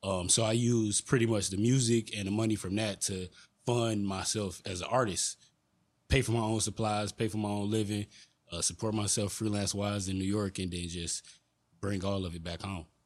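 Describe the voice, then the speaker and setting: An ordinary speaking voice from a man, fairly low in pitch, at a moderate pace with fairly even intonation, in a very clean recording with a silent background. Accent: American. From Detroit. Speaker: artist. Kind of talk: casual chat. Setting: studio.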